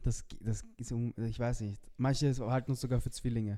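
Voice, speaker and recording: A man's dark, mellow voice at a moderate pace. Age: 20s. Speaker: podcast co-host. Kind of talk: casual chat.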